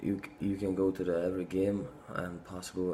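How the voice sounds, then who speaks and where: Set against audible room echo, a man talks at a moderate pace in a very deep, low voice. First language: not English. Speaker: fitness vlogger. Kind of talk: casual monologue to camera. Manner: halting, many fillers.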